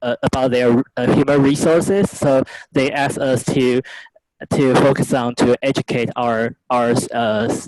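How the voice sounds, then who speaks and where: A man's medium-pitched voice with a Chinese accent, fairly even intonation and a fairly slow pace, in a dry, close sound with no echo. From Taiwan. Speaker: student, former software engineer. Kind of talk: casual chat. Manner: halting.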